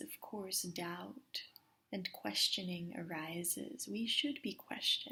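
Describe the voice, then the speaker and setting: A soft-spoken woman, calm in tone, at a very slow pace. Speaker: meditation guide. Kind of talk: guided meditation. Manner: soft, calm.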